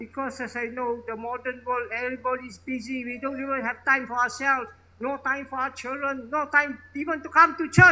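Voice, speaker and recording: A man projects a raised voice at an extremely high pitch with a bright, sharp tone. His pace is moderate. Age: 70s. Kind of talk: homily. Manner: emphatic, repetitive.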